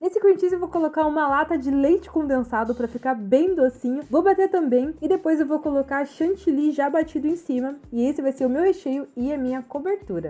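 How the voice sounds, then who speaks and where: Upbeat and playful, this voice moves at a fairly quick pace with hardly any pauses. Background noise is noticeable, and the pitch varies in an ordinary way. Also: woman, high pitch for a woman. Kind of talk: cooking tutorial narration. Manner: upbeat, playful.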